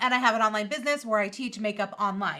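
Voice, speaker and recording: In a New York accent, a woman speaks with a bright, sharp tone. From US Northeast (New York). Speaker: makeup artist and teacher. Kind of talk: live-stream tutorial. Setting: livestream. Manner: fast.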